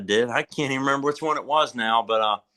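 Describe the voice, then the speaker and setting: With an American accent, a man speaks at a moderate pace in a bright, sharp tone, his fairly high pitch showing ordinary variation against a quiet background. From Eastern Shore of Maryland. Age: 20s. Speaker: bluegrass musician. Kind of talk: casual chat.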